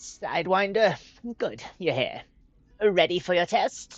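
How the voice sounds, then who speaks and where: A put-on character voice at a middle pitch and fairly slow pace, with faint music in the background. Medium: read story. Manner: curt, gruff.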